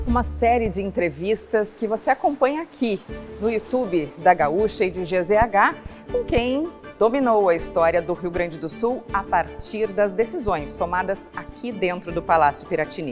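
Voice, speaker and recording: Music plays in the background. The speaker talks at a moderate pace with lively intonation. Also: woman, medium pitch for a woman. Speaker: TV journalist and interviewer. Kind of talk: program introduction.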